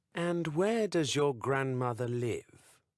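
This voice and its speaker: A man puts on a character voice, pitched fairly high and delivered rather slowly. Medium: read story. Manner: falsely friendly.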